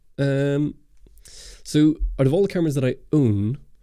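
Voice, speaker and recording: Speaking at a moderate pace, a man has a dark, mellow tone and ordinary pitch variation. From Northern Ireland. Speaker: camera YouTuber. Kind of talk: livestream Q&A chat. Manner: casual, hesitant with many fillers.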